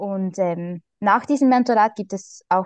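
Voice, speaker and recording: A woman speaks in a Swiss accent with ordinary pitch variation. The sound is dry and close with no echo, over a quiet background. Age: 20s. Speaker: primary school teacher. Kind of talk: interview.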